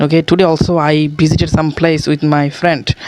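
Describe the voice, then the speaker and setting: A non-native accent at a moderate pace. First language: not English. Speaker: English learner. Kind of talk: casual talk to camera. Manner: hesitant, with many fillers.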